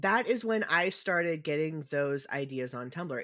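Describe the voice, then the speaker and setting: An unremarkable speaking voice from a man, fairly high in pitch, with lively intonation and a fairly slow pace against a quiet background. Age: 30s. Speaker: podcast host. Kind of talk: casual chat.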